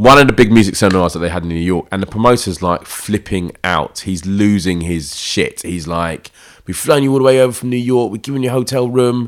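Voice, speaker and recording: A man with a South London accent, a fairly low pitch, lively intonation, and a fairly quick pace with hardly any pauses. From South London, East Dulwich/Peckham. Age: 40s. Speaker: running crew founder, DJ and poet. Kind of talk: casual interview chat.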